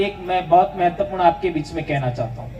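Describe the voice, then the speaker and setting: This is a man speaking. Background noise is noticeable. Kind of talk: public speech at rally. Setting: outdoor tent with audience. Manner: forceful, impassioned.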